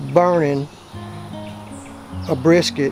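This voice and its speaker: A man with an American accent at a very slow pace, music in the background. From South Texas. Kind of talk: cooking instructions.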